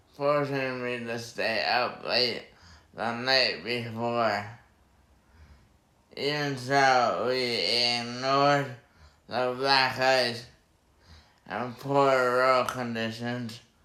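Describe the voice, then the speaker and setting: A man with a medium pitch and a bright, sharp tone speaks at a very slow pace with monotone, flat intonation. Long, frequent pauses and audible room echo mark the clip. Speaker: brain injury survivor and writer. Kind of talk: reading aloud. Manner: halting.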